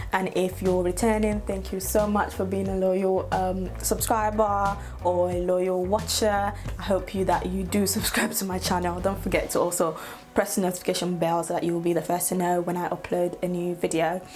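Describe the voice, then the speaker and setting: A woman speaks at a moderate pace with a Yoruba accent. Music plays in the background, and the room echo is audible. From Nigeria, Lagos. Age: 20s. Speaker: YouTuber. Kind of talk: casual vlog talk to camera.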